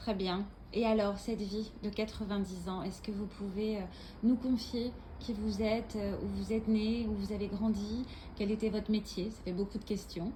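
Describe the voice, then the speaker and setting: Over noticeable background noise, a woman speaks at a moderate pace and medium pitch, her intonation monotone and flat. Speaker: radio interviewer. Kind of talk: radio interview questions.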